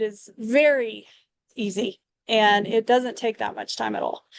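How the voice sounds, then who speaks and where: With a Texas accent, a woman speaks fairly slowly at a fairly high pitch with ordinary pitch variation, in a dry, close sound with no echo. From Texas, Lubbock. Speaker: hairdresser and interior designer. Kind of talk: interview testimony.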